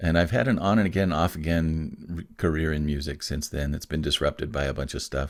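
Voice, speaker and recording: A man talks at a fairly quick pace in a very deep, low voice with vocal fry. The recording is very clean, with a silent background. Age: 60s. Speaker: musician and creative career coach. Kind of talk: podcast interview.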